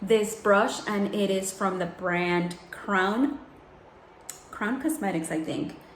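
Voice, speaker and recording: A woman speaks at medium pitch. Noticeable background noise and audible room echo are present. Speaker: beauty vlogger. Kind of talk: tutorial. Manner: soft-spoken; casual.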